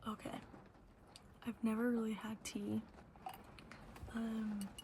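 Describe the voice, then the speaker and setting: Soft-spoken and whispering, the voice moves at a very slow pace with noticeable background noise behind it. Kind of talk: ASMR Q&A ramble to camera. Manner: whispered, soft-spoken.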